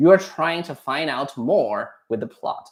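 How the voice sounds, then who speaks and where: A man with a Chinese accent speaks at a moderate pace. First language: Mandarin Chinese. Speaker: Chinese language teacher. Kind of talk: casual advice chat. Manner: halting, with restarts.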